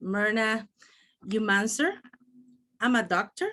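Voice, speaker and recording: A fairly high pitch marks this woman's voice. She talks in a Spanish accent. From El Salvador. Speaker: doctor and network marketing speaker. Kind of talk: motivational talk.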